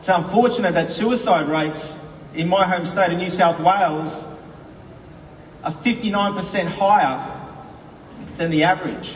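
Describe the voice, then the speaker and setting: A high-pitched man with an Australian accent at a moderate pace, with long, frequent pauses, noticeable background noise and audible room echo. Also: ordinary pitch variation. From Australia, Queensland (Brisbane). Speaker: company executive. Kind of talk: conference speech. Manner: animated, with frequent fillers.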